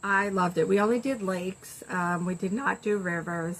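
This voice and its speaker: A woman's bright, sharp voice at a medium pitch, with fairly even intonation. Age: 60s. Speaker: video blogger. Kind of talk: casual chat. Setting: screened-in porch. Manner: halting.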